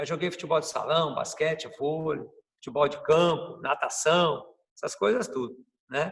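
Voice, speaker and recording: A man with a normal speaking voice, fairly high in pitch with ordinary variation, at a moderate pace. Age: 60s. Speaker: capoeira master. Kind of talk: interview. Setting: video call.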